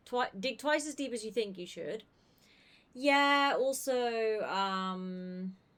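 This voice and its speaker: At a very slow pace, a woman speaks in a fairly high pitch with lively intonation, captured in a very clean recording with a silent background. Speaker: video game streamer. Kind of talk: casual livestream chat with viewers.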